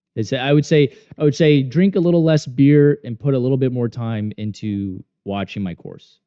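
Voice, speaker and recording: At medium pitch, a man speaks at a moderate pace with lively intonation. His loudness swings widely. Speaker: day trader and trading course instructor. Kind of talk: live trading stream commentary. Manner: casual, rambling with repetitions.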